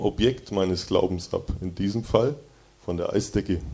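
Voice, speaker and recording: A man's dark, mellow tone at a moderate pace. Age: 20s. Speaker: mechanical engineer giving a devotional talk. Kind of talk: devotional talk to a youth group. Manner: casual, conversational.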